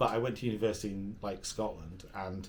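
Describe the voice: Fairly low-pitched and fairly even in intonation, a man speaks fairly quickly with audible room echo.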